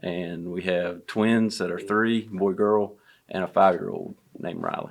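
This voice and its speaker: The speaker has a Southern US accent and a moderate pace. The intonation is monotone and flat. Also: man, fairly low pitch for a man. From North Carolina, Greenville. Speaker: construction estimator. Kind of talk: casual podcast conversation.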